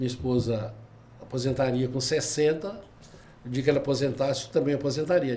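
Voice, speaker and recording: A man speaks in a somewhat breathy voice with ordinary pitch variation, and audible room echo surrounds him. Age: 70s. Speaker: retired labor judge and lawyer. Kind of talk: podcast interview.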